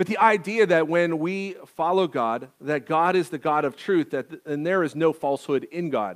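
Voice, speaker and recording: Against a quiet background, a man with an American accent talks at a fairly slow pace with ordinary pitch variation. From rural US farming community. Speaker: pastor. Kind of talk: sermon. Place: church.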